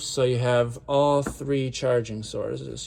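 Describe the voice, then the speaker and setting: A man speaks at a moderate pace with a medium pitch. His intonation is fairly even in a plain, everyday voice. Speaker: van owner giving a tour. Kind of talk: casual walkthrough tour.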